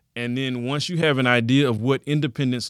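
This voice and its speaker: Moderate pace, fairly even intonation and a mid-level pitch from a man with an ordinary speaking voice. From Texas, Houston area. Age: 30s. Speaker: math teacher. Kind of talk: interview.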